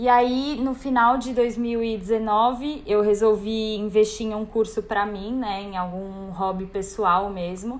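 Her pace very slow and with hardly any pauses, a woman talks at a fairly high pitch with fairly even intonation. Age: 20s. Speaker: birth photographer. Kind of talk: casual chat.

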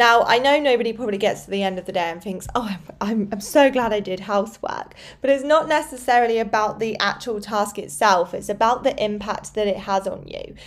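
Speaking with a British accent, a woman keeps a fairly quick pace with hardly any pauses, her pitch fairly high. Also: ordinary pitch variation. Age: 30s. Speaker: fitness coach and podcast host. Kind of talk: solo podcast monologue. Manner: casual, conversational.

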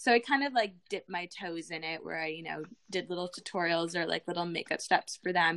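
A woman with a Canadian accent and an unremarkable speaking voice talks at a fairly quick pace, her fairly low pitch moving with ordinary variation. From Canada. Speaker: beauty vlogger and influencer. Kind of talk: casual interview.

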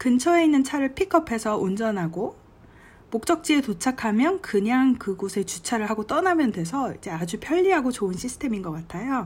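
The voice has a relaxed tone with very wide pitch swings at a moderate pace. The recording is very clean, with a silent background. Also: woman, high pitch for a woman. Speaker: travel vlogger. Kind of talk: travel diary monologue. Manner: relaxed conversational.

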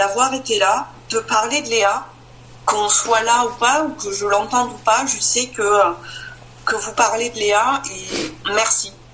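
A woman speaks very slowly in a fairly high voice, with ordinary pitch variation. Room echo is audible, and there is noticeable background noise. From France, Marne. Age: 40s. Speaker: bereaved mother sharing her story. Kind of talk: personal testimony.

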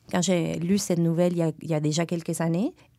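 The recording is very clean, its background silent. A woman speaks in a fairly low pitch with a dark, mellow tone. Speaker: literary magazine co-editor. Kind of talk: casual interview conversation.

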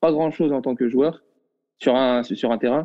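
The speech has a moderate pace and fairly even intonation. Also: man. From Morocco, Casablanca. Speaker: professional footballer. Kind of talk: casual chat. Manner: halting, many repetitions.

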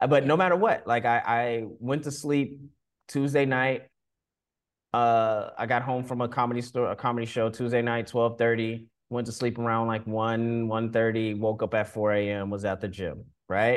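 A man talks at a moderate pace at medium pitch with fairly even intonation, against a quiet background. He has an ordinary speaking voice. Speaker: creative. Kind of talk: casual chat.

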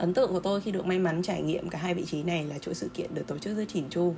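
Over noticeable background noise, a woman with a fairly low pitch talks very fast in fairly even intonation. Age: 20s. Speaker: graphic designer. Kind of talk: testimony.

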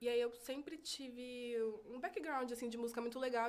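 A woman speaks in a fairly high pitch. Noticeable background noise can be heard. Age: 20s. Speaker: crochet designer and DJ. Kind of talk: casual chat.

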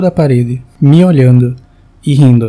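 A man's somewhat breathy voice, dark and mellow in tone, fairly slow with ordinary pitch variation. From Brazil, João Pessoa (Paraíba). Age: 20s. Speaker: listener sharing a personal ghost story. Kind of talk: recorded personal testimony.

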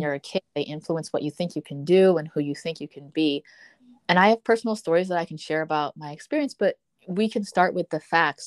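A woman with a normal speaking voice talks at a fairly quick pace in a fairly low pitch with ordinary pitch variation, the sound dry and close with no echo. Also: very clean recording, silent background. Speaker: nonprofit founder. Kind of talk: interview conversation.

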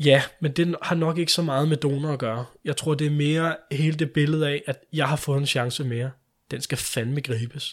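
A man talks in an ordinary speaking voice at a moderate pace. His pitch is fairly high, with fairly even intonation. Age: 20s. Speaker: liver transplant recipient. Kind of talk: interview.

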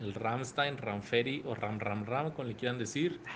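A man uses an ordinary speaking voice at a medium pitch. He talks at a fairly slow pace with ordinary pitch variation. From El Paso, Texas border region. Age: 30s. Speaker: actor and podcaster. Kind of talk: recorded interview answers.

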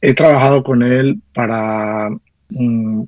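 A man's medium-pitched voice with fairly even intonation, dry and close with no echo. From Colombia, Caldas (coffee region). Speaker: music producer and arranger. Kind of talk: radio interview. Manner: halting, with frequent fillers and repetitions. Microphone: connection dropped out.

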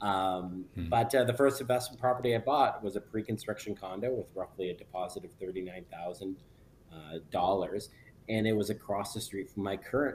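Somewhat breathy and fairly low-pitched, a man with a Canadian accent speaks at a fairly quick pace with ordinary pitch variation. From northern Ontario, near Sudbury. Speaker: real estate broker and investor. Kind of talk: podcast interview.

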